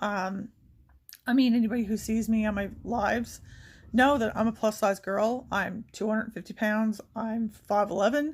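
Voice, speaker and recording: Woman with fairly high pitch, fairly even intonation and a somewhat breathy voice, on a very clean recording with a silent background. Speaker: beauty vlogger. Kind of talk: casual chat. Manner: fast.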